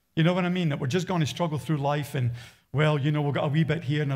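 A man speaks in a somewhat breathy voice. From Australia. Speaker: pastor. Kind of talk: sermon. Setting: church. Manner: animated. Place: church. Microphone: headset.

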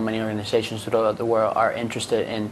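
A man speaks with a Spanish accent. Light background noise can be heard. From Venezuela. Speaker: international student; panelist. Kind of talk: live panel discussion. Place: studio. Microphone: lapel.

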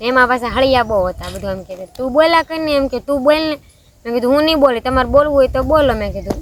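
There is noticeable background noise as a woman speaks in a high pitch with ordinary pitch variation. Her loudness swings widely. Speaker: vlogger. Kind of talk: casual chat.

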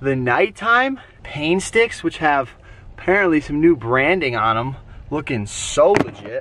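A man's fairly slow speech with very wide pitch swings, dry with no echo, over light background noise. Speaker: travel vlogger. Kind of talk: casual vlog chat. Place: car.

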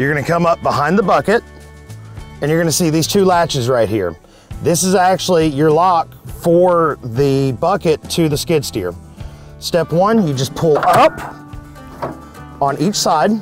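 A man talks at a moderate pace with long, frequent pauses and ordinary pitch variation. The sound is dry with no echo, and faint music plays in the background. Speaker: equipment operator instructor. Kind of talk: tutorial. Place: open country.

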